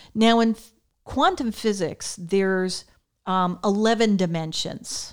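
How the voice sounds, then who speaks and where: Speaking at a very slow pace, a woman with an American accent uses ordinary pitch variation. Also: medium pitch for a woman. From Connecticut, US. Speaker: co-host, mother of the other host. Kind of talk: casual conversation, podcast chat.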